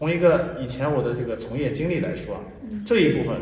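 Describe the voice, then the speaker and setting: Lively intonation and a fairly quick pace come through over light background noise and audible room echo. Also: man. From Jiaozuo, Henan, China; Henan, China. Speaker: tai chi teacher and school founder; tai chi teacher. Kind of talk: interview. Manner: serious, stern; formal. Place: garden.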